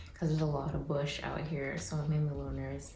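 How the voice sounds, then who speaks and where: Noticeable background noise and audible room echo around a female voice. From Canada, Toronto. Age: 20s. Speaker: nurse, vlogger. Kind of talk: casual vlog.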